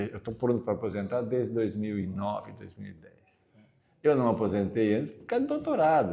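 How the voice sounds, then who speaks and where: This man's medium-pitched voice has a dark, mellow tone, ordinary pitch variation, and a moderate pace. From southern Brazil, Caxias do Sul. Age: 60s. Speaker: retiring university professor. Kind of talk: interview. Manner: halting.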